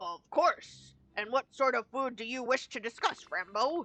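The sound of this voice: A woman uses a put-on character voice pitched high. She talks at a moderate pace.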